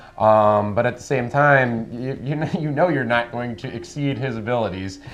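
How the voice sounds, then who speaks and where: Audible room echo surrounds a man speaking at a moderate pace. His medium pitch has ordinary variation. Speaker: stand-up comedian. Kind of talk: interview. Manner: loud, animated.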